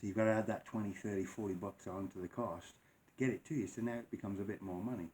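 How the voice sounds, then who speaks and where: A man talks at a very fast pace in a fairly low pitch. His intonation stays fairly even. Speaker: vape product reviewer, YouTuber. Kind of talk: casual chat to camera. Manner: casual, rambling.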